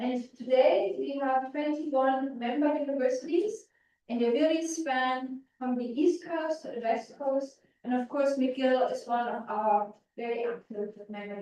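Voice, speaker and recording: With a high pitch and a dark, mellow tone, a woman talks at a moderate pace, her intonation lively and her loudness swinging widely. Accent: German. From Germany. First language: German. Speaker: physicist. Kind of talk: public lecture. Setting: stage with audience.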